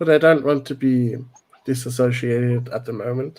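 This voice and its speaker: In a German accent, a man with a medium-pitched, dark, mellow tone speaks at a moderate pace with fairly even intonation. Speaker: caller, former Jehovah's Witness. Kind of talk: casual chat. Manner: halting.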